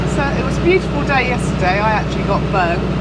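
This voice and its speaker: A woman speaks at a fairly quick pace. The sound is dry with no echo, though loud noise fills the background. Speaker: vlogger. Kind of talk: casual vlog chat. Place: boat. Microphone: lapel.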